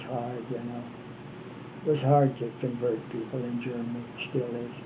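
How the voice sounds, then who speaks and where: With an American accent, a man speaks in a monotone, flat way. Noticeable background noise and audible room echo fill the recording. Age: 80s+. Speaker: retired former missionary. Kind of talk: oral history interview.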